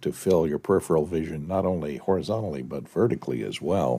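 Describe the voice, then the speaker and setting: Speaking at a fairly quick pace, a man talks with vocal fry. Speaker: panelist. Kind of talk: casual chat. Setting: video call.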